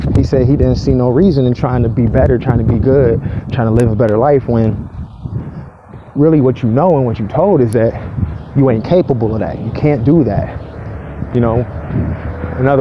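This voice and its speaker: Pausing long and often, a man with a medium pitch and ordinary pitch variation talks over noticeable background noise. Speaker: vlogger. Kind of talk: casual rant. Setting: outdoors, walking to work. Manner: not too loud.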